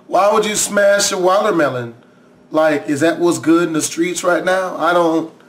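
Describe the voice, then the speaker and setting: Noticeable background noise surrounds a man speaking at a moderate pace. His pitch is high. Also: ordinary pitch variation. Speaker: reaction youtuber. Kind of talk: reaction commentary. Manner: animated.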